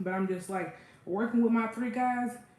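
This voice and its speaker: A woman is speaking in a room with audible echo. Noticeable background noise can be heard. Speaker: cooking livestreamer. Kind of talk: casual livestream chat. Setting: kitchen livestream.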